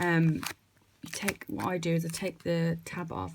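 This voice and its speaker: Soft-spoken and monotone, with flat intonation, a woman talks at a fairly slow pace and a fairly low pitch amid noticeable background noise. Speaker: nail technician. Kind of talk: tutorial.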